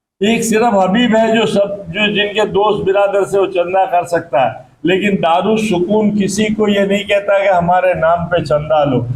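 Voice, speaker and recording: The speaker keeps a very even loudness with ordinary pitch variation and hardly any pauses. Noticeable background noise runs underneath. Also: man, high pitch for a man. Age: 80s+. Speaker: charity volunteer and fundraiser. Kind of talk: speech to gathering.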